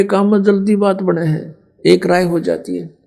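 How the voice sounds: With a dark, mellow tone and vocal fry, a man speaks at a fairly slow pace in a high pitch for a man, his pitch moving little.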